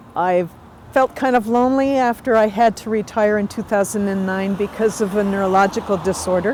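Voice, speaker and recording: There is noticeable background noise as a woman talks at a moderate pace, her medium pitch showing ordinary variation. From Canada. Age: 60s. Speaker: retired public servant, blind technology user. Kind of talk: personal testimony and device demonstration. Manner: casual with frequent fillers.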